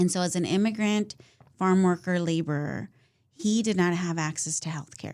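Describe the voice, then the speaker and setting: With a Californian accent, a woman speaks at a moderate pace. Her voice is fairly low, with fairly even intonation. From Central Valley, California (Fresno area). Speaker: political candidate. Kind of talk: interview.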